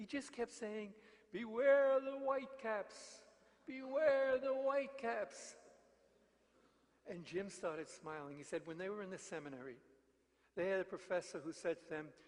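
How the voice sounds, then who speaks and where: A man with a New York accent, high in pitch, lively in intonation, at a moderate pace. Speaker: mission preacher. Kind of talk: sermon.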